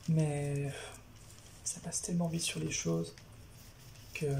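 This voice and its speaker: Soft-spoken and whispering, a woman speaks over noticeable background noise. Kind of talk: soft-spoken ASMR talk to camera, manga review. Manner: soft-spoken, whispering.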